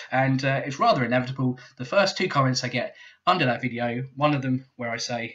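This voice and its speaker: A man's bright, sharp voice with a British accent, medium pitch, ordinary pitch variation and a moderate pace. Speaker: YouTube commentator. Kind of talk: casual commentary reading comments. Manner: casual with many fillers.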